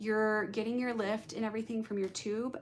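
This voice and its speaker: A woman talks at a medium pitch with ordinary pitch variation. It is an unremarkable speaking voice. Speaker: hairstylist and color educator. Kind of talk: live-streamed tutorial. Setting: live stream to YouTube and Instagram.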